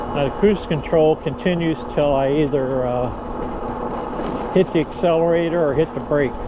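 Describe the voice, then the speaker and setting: A man with an American accent talks slowly with a fairly high pitch and fairly even intonation. He barely pauses, and there is noticeable background noise. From Florida, Dunedin area. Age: 70s. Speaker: vlogger. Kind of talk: casual narration while riding. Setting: outdoors on an e-bike trail.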